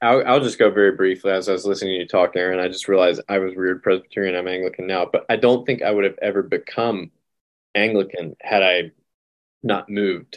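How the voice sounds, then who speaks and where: Talking at a very fast pace, a man with an American accent keeps his intonation fairly even. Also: fairly low pitch for a man. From US South, North Carolina. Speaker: podcast co-host. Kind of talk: podcast conversation.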